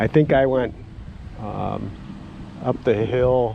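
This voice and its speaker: Very slowly and with an Upper Midwest accent, a man talks over noticeable background noise. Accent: Upper Midwest American. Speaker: retired outdoorsman. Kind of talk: personal storytelling. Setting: outdoors.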